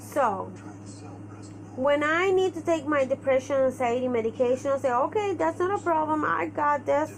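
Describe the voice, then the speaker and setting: This speaker has a Spanish accent and lively intonation. The pace is moderate. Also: woman, high pitch for a woman. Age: 30s. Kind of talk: personal vlog monologue. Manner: halting.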